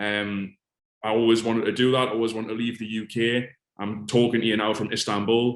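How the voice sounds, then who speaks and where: A man with a strong northeast English accent speaks at a fairly quick pace. His pitch is medium and his intonation monotone and flat. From northeast England, Alnwick, Northumberland. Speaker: fitness coach. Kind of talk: interview. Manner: casual.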